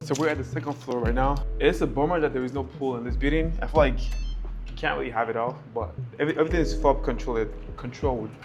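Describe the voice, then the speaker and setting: A very fast pace over background music, with audible room echo. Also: man. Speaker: vlogger. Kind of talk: apartment tour vlog. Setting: outdoors on building terrace. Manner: casual.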